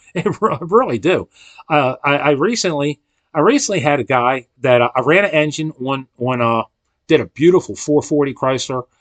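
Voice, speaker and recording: A man with an American accent talks at a moderate pace in a fairly high pitch, with lively intonation. The sound is dry and close with no echo, over a quiet background. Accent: regional accent others remark on. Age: 60s. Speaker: engine machinist. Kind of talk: rant to camera. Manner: slurs words slightly; rambling, many repetitions.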